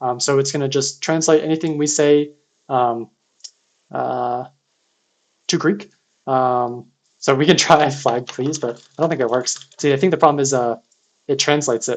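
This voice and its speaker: Pausing long and often, a man speaks with a fairly high pitch and fairly even intonation. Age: 30s. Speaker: security researcher streaming CTF writeups. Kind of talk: live-streamed tutorial. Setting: live stream. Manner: fast; casual with frequent fillers.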